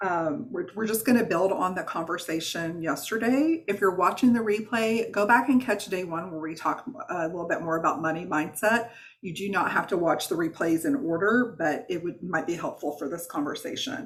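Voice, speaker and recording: A woman speaks in a Southern US accent at a medium pitch. There are hardly any pauses. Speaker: wellness coach. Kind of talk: online workshop. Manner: fast; animated.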